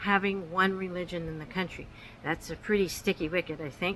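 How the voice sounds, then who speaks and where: A woman's bright, sharp voice with ordinary pitch variation. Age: 60s. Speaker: channel owner, retired mother giving opinions. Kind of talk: personal opinion monologue. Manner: halting, many fillers.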